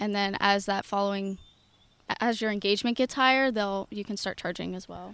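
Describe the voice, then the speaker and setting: At a fairly quick pace, a woman with an American accent speaks at medium pitch with fairly even intonation and big swings in loudness, on a very clean recording with a silent background. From western Pennsylvania, North Huntingdon. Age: 20s. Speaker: content creator, online sales. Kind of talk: casual interview. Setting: outdoors in a park.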